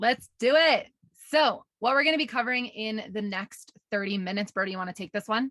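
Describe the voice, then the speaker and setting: Recorded dry and close with no echo, a woman talks at a fairly quick pace in a fairly high, bright, sharp voice. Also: ordinary pitch variation. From New York. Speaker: online business coach. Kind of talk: webinar presentation.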